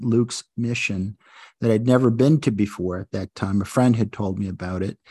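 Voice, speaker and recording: A man with an American accent speaks at a moderate pace in an ordinary speaking voice, with ordinary pitch variation. The background is quiet and the sound is dry and close, with no echo. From US Northeast (Buffalo, New York). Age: 60s. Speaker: lawyer and judicial wellness coordinator. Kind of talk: interview.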